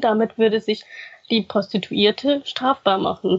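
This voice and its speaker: At a fairly slow pace, a woman uses a normal speaking voice, fairly high in pitch, with ordinary pitch variation. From grew up in Germany after arriving as a refugee. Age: 30s. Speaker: former sex worker and activist, student. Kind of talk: interview testimony.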